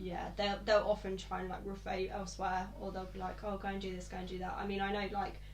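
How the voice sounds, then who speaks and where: Over noticeable background noise and audible room echo, a woman rushes along at a very fast pace with hardly any pauses. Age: 20s. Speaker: podcast host. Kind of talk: casual chat.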